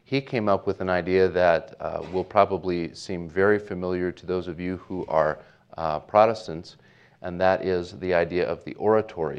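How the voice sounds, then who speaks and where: In a Pacific Northwest accent, a man with a very deep, low pitch talks at a moderate pace with fairly even intonation. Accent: general American (Pacific Northwest). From US Pacific Northwest (Portland, Oregon). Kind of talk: invited talk and Q&A at a Bible college chapel. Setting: college chapel with student audience.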